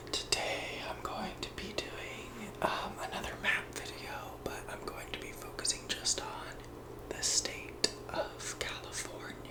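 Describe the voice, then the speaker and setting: Someone whispers over noticeable background noise. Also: fairly slow pace. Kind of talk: ASMR map tour, casual talk to camera. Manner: whispered, soft-spoken.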